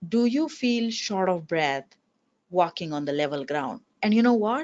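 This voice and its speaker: Her pitch swings very widely. This woman keeps a moderate pace. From India. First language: not English; English is her third language. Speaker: physician researcher. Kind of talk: webinar presentation. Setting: webinar.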